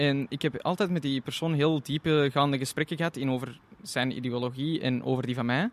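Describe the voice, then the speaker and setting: A man's normal speaking voice with fairly high pitch and fairly even intonation, fairly quick, with hardly any pauses. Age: 20s. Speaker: tourism student intern. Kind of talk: interview.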